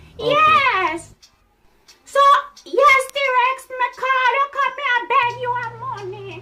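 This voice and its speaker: A female-sounding put-on character voice at an extremely high pitch moves at a very slow pace with long, frequent pauses. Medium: role play.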